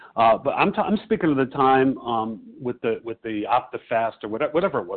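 An American accent marks this man's unremarkable speaking voice. He talks at a fairly quick pace. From Chicago. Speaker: support group member. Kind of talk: personal testimony. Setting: phone conference call.

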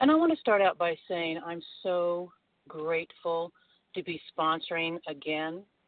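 In a plain, everyday voice, a woman speaks fairly slowly and fairly low in pitch, her intonation fairly even. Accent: American. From North Carolina. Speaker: twelve-step meeting member. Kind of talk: sharing in a support group.

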